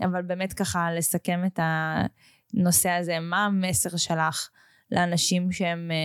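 Very slow and monotone, a woman speaks at a fairly low pitch with very even loudness and flat intonation, in a very clean, dry, close recording with no echo and a silent background. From Israel, Russian family background. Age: 20s. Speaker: podcast host. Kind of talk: casual interview chat.

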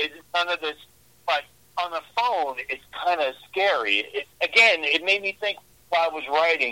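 A bright, sharp tone at a moderate pace. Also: man, high pitch for a man, ordinary pitch variation. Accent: New York. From New York, Brooklyn. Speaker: horror author. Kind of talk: interview.

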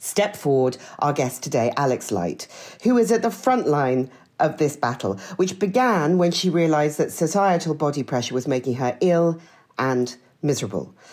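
Her voice sits very deep and low, yet this woman swings her pitch very widely while talking at a moderate pace. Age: 40s. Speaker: podcast co-host. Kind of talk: casual interview chat.

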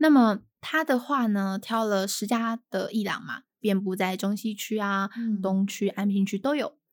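A woman talks at a fairly slow pace with hardly any pauses, in a normal speaking voice. Her pitch is medium with ordinary variation, and the recording is very clean with a silent background. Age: 20s. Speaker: art curator. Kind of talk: casual chat.

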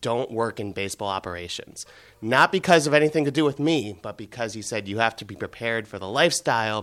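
Speaking at a fairly quick pace in a plain, everyday voice, a man at medium pitch shows ordinary pitch variation and big swings in loudness in a very clean recording with a silent background. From US Midwest, Cleveland. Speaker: baseball executive. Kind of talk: interview.

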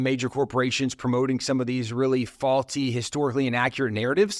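In a very clean recording with a silent background, a man talks very fast at medium pitch with fairly even intonation. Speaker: ministry leader. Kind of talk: casual interview conversation.

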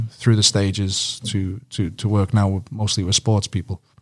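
With a British accent, a man speaks at a fairly quick pace and with fairly even intonation. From UK. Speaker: strength and conditioning coach. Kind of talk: casual interview.

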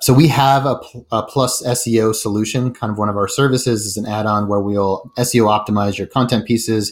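A man talks with a General American accent in a normal speaking voice. His intonation stays fairly even. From Colorado (Denver). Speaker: startup CEO. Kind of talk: interview.

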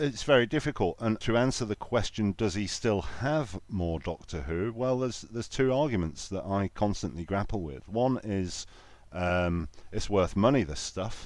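A man speaks in a Lancashire accent, fairly low in pitch and at a moderate pace. His intonation is lively, and the recording is very clean with a silent background. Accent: northern English (Lancashire). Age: 40s. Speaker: podcast host, guest. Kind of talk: casual chat.

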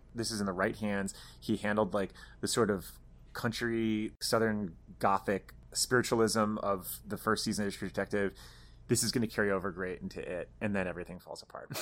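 This man has a normal speaking voice, fairly low in pitch, moving at a fairly quick pace with fairly even intonation in a very clean recording with a silent background. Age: 30s. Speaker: entertainment website editor and podcast co-host. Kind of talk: casual chat.

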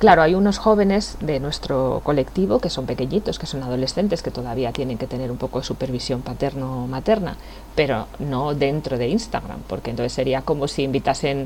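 A woman talks at a fairly quick pace with lively intonation and a very deep, low pitch. Noticeable background noise runs underneath. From Spain, La Sagra, Toledo. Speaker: youth association founder. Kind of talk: interview.

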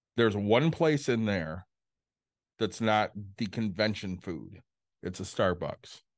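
Against a quiet background, a man with a fairly low voice talks fairly slowly with ordinary pitch variation and long, frequent pauses. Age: 40s. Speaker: podcast co-host. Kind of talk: casual chat. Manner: loud.

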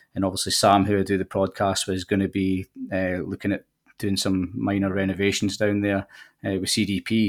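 The recording is very clean, with a silent background. Delivery moves at a fairly quick pace. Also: man. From Scotland. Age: 40s. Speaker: golf course manager. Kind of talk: casual interview chat. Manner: easy to listen to.

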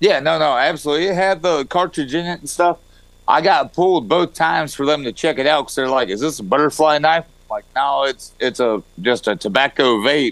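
With a Southern US accent, a man speaks at a fairly quick pace. His pitch is fairly high, with ordinary variation. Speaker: regular guest. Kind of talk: casual chat. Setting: video call.

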